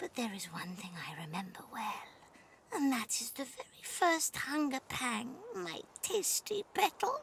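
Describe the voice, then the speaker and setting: At a moderate pace, a put-on character voice rises and falls in very wide pitch swings. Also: female-sounding voice, high pitch for a woman. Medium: video game. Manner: sweetly condescending, purring pet names.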